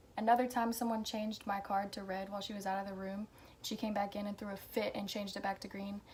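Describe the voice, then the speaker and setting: A woman with an American accent talks at a very fast pace and a fairly high pitch against noticeable background noise. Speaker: vlogger. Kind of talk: casual chat. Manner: casual, hesitant with fillers.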